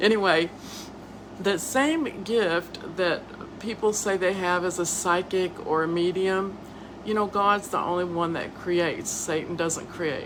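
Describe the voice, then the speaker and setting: A woman with a Southern US accent speaks at a fairly slow pace and medium pitch, with fairly even intonation, over noticeable background noise. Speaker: podcast host and author. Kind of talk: casual live-stream monologue. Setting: live video stream. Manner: stuttering, halting.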